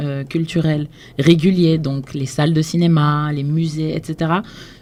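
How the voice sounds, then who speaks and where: Her pitch very deep and low, a woman talks at a fairly slow pace with monotone, flat intonation. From Senegal (Dakar). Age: 20s. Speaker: cultural entrepreneur, blog founder. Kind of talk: radio interview.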